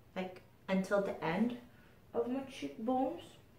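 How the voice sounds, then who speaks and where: Noticeable background noise and audible room echo surround a woman who talks at a very slow pace. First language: not English. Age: 30s. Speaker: beauty vlogger. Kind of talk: casual chat.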